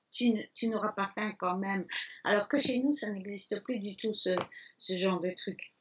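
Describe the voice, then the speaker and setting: At a moderate pace, a woman speaks in a medium pitch with a somewhat breathy voice. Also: ordinary pitch variation. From Belgium, Liège. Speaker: elephant sanctuary founder, former restaurateur. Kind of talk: interview. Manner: hesitant fillers.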